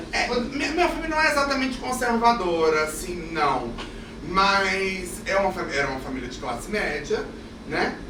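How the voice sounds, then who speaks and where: A man with a high pitch projects a raised voice at a moderate pace, his pitch swinging very widely, with audible room echo and noticeable background noise. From Brasília, Brazil. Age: 30s. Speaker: actor. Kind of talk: podcast interview. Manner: talkative.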